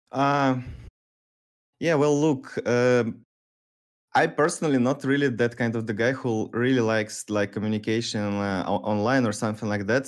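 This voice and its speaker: A man with a plain, everyday voice speaks at a moderate pace in a medium pitch with ordinary pitch variation. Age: 30s. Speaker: professional esports player. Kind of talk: casual chat. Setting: video call.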